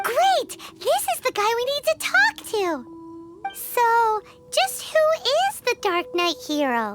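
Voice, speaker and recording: In a squeaky, extremely high put-on character voice with very wide pitch swings, the speaker goes at a fairly slow pace with long, frequent pauses, with music in the background. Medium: video game. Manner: lively, quick-witted.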